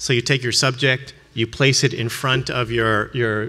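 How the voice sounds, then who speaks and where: At a moderate pace, a man speaks in a medium pitch with a bright, sharp tone and fairly even intonation. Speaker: art professor. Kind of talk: conference lecture. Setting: stage with audience. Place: hall.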